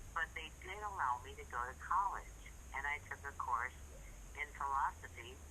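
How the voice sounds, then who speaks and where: The woman talks at a moderate pace. Noticeable background noise runs underneath. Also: big swings in loudness. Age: 70s. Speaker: caller. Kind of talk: casual chat.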